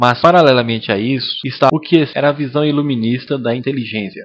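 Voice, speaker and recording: A man with a plain, everyday voice speaks at a moderate pace and fairly high pitch, with ordinary pitch variation. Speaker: voice actor. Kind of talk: lecture dub.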